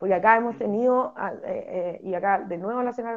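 A woman with an unremarkable speaking voice, medium in pitch, talks at a fairly quick pace with ordinary pitch variation. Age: 30s. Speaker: politician, parliamentary candidate. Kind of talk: interview.

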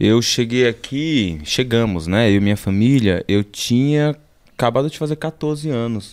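In a normal speaking voice, a man talks fairly slowly at a medium pitch, his intonation lively. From Brazil, Alagoas (Northeast), moved to São Paulo at 14. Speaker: visual artist. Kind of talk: casual interview.

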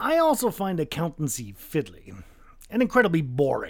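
A high-pitched male voice with very wide pitch swings at a moderate pace, on a very clean recording with a silent background. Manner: languid, dismissive, smug.

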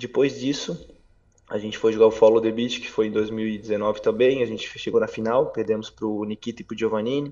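The pace of this man's talking is moderate. Big swings in loudness run through his speech. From Santa Catarina, Brazil (Brusque). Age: 30s. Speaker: professional beach tennis player. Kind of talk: interview. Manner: hesitant, many fillers.

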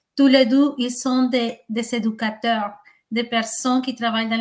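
A high-pitched woman's voice with a Spanish accent and fairly even intonation. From Colombia. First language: Spanish (speaking French). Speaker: intercultural liaison worker. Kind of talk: interview.

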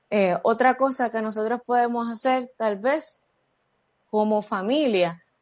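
The speaker is a woman. She talks fairly slowly. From Puerto Rico, Vega Baja. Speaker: athletic therapist and public health professional. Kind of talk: interview.

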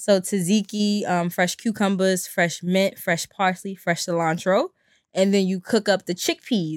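Recorded very cleanly against a silent background, with a dry, close sound and no echo, a woman at medium pitch speaks with a Brooklyn accent. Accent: New York (Brooklyn). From Brooklyn, New York (East New York). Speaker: vegan chef. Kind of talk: casual chat.

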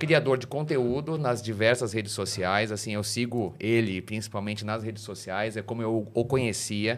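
A man speaks in a plain, everyday voice at a medium pitch and moderate pace. His pitch variation is ordinary, and he takes hardly any pauses. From Brazil. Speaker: podcast host. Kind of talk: casual interview.

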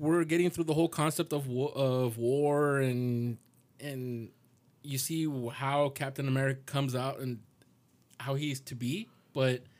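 A man at a fairly slow pace, fairly even in intonation, with long, frequent pauses. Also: fairly high pitch for a man. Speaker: podcast co-host. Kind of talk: casual banter.

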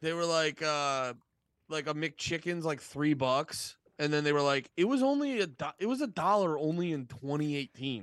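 A man's normal speaking voice, fairly high in pitch, with ordinary pitch variation and a moderate pace over a quiet background. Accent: American. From eastern Pennsylvania, near Allentown. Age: 30s. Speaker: comedian and music podcast host. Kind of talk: casual chat.

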